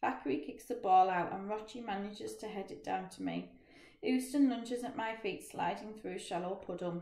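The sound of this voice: With ordinary pitch variation, the reading voice stays unforced.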